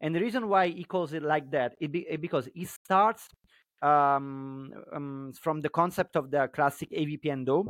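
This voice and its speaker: In a very clean recording with a silent background and a dry, close sound with no echo, a man with a Neapolitan accent and a fairly high pitch speaks at a moderate pace with ordinary pitch variation. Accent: Italian (Neapolitan). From Naples, Italy. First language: Italian. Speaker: pizza blogger and journalist. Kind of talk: casual chat.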